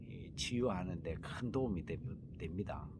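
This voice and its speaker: A man's fairly low, somewhat breathy voice with very wide pitch swings and a relaxed tone, plus audible room echo. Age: 50s. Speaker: healing center host, cancer survivor. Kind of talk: casual vlog talk. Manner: relaxed, many fillers.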